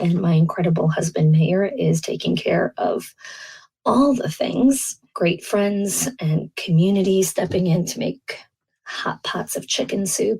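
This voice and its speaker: A woman's medium-pitched voice, somewhat breathy, dark and mellow, at a fairly slow pace. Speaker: podcast host and early childhood educator. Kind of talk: podcast monologue.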